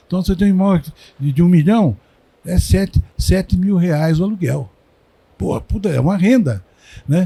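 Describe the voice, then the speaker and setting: A man with a high pitch and a dark, mellow tone speaks at a moderate pace with ordinary pitch variation and long, frequent pauses. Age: 70s. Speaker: industry consultant. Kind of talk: casual chat. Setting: recording at a trade fair.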